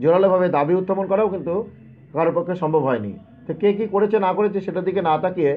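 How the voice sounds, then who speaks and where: A man's high voice with ordinary pitch variation, music playing in the background. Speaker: protest organizer and job candidate. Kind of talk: live stream monologue. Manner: impassioned.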